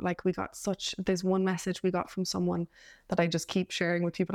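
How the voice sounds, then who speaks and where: A woman speaks at a very fast pace with a Cork accent. The sound is dry and close, with no echo. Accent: Cork Irish. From Ireland, Cork. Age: 20s. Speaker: actor and playwright. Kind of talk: casual interview.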